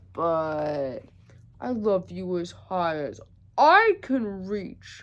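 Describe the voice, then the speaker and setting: In a put-on character voice of medium pitch, a woman speaks at a very slow pace against a quiet background. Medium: read story.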